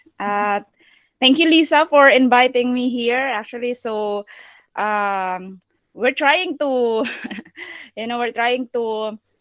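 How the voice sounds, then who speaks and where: A woman speaks very slowly with a Filipino accent. Her voice is high, with ordinary pitch variation. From Philippines. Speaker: virtual assistant trainer and online seller. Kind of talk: video call presentation. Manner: halting.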